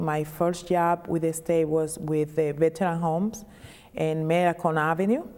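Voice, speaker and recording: In a Dominican accent, a woman speaks at a fairly slow pace. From Dominican Republic. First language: Spanish. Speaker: state legislator. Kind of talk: interview.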